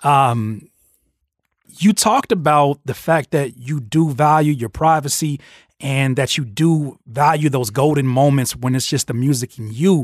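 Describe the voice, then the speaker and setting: A man's fairly high-pitched, ordinary speaking voice at a fairly slow pace, with a dry, close sound with no echo. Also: ordinary pitch variation. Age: 30s. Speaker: podcast host and rapper interviewing a producer. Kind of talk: casual interview. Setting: studio.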